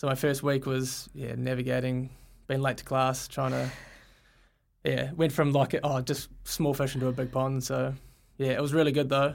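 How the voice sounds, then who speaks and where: The recording is very clean with a silent background as a man with a New Zealand accent speaks at a moderate pace, medium in pitch and flat, monotone in intonation. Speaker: field hockey player. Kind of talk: casual interview. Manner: hesitant, many fillers.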